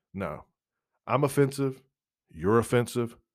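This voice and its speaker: With an animated tone and vocal fry, a man speaks at a moderate pace on a very clean recording with a silent background. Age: 40s. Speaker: podcast host. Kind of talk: casual monologue.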